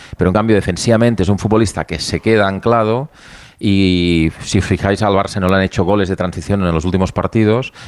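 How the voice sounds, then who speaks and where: This man has an unremarkable speaking voice, pitched fairly low with fairly even intonation. He talks at a fairly quick pace. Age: 50s. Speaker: football pundit. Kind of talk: heated debate.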